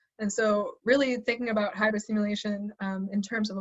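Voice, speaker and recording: A woman speaks with a fairly high pitch and a somewhat breathy quality. Her intonation is monotone and flat. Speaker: assistant professor. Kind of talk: webinar lecture. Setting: online webinar. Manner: fast; hesitant with fillers.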